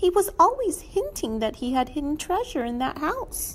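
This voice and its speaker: Against clear background noise, a squeaky put-on character voice moves at a moderate pace with very wide pitch swings. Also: female-sounding voice, extremely high pitch for a woman. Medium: read story.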